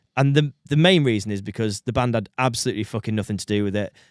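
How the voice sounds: A man's fairly low voice at a fast pace, with ordinary pitch variation, dry and close with no echo, on a very clean recording with a silent background.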